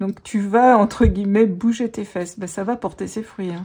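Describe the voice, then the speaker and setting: In a very clean recording with a silent background, a woman speaks with a somewhat breathy, dark, mellow tone. Her pitch is fairly high with ordinary variation. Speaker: tarot reader and life coach. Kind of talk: tarot reading. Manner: animated.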